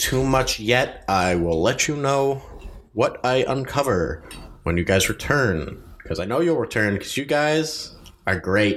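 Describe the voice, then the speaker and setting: A man speaks in a normal speaking voice at a medium pitch. His pace is fairly slow and his intonation lively. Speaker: dungeon master. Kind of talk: tabletop role-playing game podcast, narrating and voicing characters.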